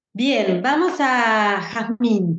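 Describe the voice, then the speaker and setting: Her fairly high pitch moves in very wide swings as this woman speaks. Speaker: podcast host and moderator. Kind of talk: moderated panel conversation.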